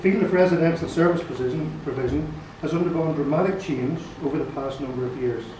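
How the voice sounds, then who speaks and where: A man with a Northern Irish accent, fairly high-pitched, at a very fast pace with ordinary pitch variation, plus audible room echo and noticeable background noise. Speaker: nurse and care home manager. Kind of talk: formal address to a meeting. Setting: annual general meeting with audience. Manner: halting. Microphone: poor sound quality.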